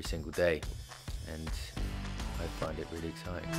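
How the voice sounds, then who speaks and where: Music plays in the background as a man talks at a fairly slow pace. His intonation is lively. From France. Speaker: bootmaker. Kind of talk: interview answer.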